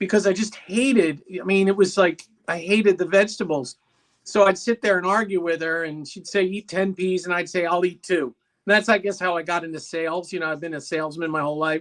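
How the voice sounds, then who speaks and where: A man's high-pitched voice, fairly quick, with fairly even intonation. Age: 60s. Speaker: salesman, guest sharing diet story. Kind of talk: casual chat, personal testimony.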